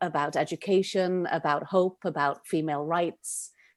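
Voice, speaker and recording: A woman speaks in a Welsh accent at a fairly low pitch. Her intonation stays fairly even against a quiet background. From Wales, Cardiff. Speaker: playwright and director. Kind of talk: podcast interview.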